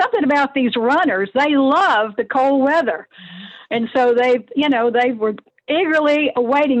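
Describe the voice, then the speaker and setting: Speaking at a moderate pace with a Kentucky accent, a woman uses a high pitch and ordinary pitch variation. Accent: Kentucky twang. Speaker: nonprofit staff member. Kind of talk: casual podcast interview. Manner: halting, many fillers.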